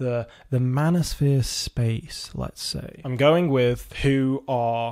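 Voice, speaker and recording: Over a quiet background, a man speaks at medium pitch with a British accent. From Britain. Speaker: video essayist. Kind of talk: video essay commentary. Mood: wry, sarcastic. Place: home room. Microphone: studio mic.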